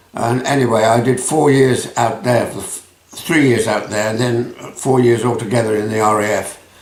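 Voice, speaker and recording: Over noticeable background noise and audible room echo, a man at medium pitch talks at a moderate pace with fairly even intonation and hardly any pauses. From England (Rugby area). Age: 80s+. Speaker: retired businessman. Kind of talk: interview.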